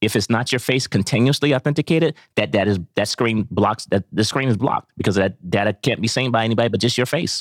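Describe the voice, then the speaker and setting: Talking at a very fast pace with hardly any pauses, a man with an American accent keeps a medium pitch, ordinary pitch variation and very even loudness, in a dry, close sound with no echo. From Ohio. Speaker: tech startup founder. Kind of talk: interview.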